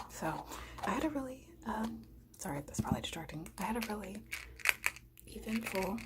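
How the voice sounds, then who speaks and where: Soft-spoken and fairly high in pitch, a woman uses lively intonation at a moderate pace with long, frequent pauses, over noticeable background noise. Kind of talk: ASMR storytime while eating. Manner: soft-spoken, casual.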